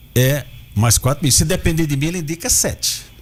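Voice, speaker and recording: A man speaks with lively intonation at a fairly high pitch. Music plays in the background. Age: 70s. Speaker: political candidate. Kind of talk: radio interview.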